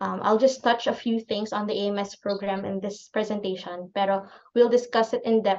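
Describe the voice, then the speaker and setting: The speaker is a woman with a medium pitch. She talks in a monotone, flat intonation. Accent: Filipino. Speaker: clinical pharmacist. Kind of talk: lecture.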